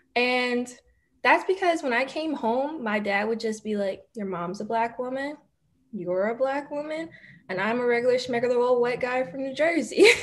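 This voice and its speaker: A woman with a Philadelphia accent speaks in a high pitch at a moderate pace, her intonation lively. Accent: Philadelphia American English. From Philadelphia, Manayunk and Roxborough area. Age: 20s. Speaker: law student. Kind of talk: casual interview chat.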